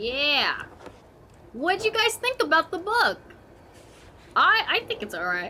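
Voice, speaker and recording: A raised, projected voice swings very widely in pitch, broken by long, frequent pauses. Noticeable background noise sits behind it. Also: woman. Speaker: vtuber streamer. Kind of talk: casual chat. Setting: live stream. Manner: halting.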